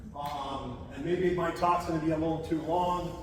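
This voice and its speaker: A man's high voice comes through amid audible room echo and noticeable background noise. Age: 60s. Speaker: historian and writer giving a talk. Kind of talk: public lecture. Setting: hall with live audience. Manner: halting, many fillers.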